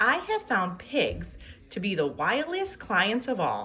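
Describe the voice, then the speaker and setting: Using a put-on character voice, a woman projects loudly at a fairly high pitch and a fairly slow pace. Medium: read story.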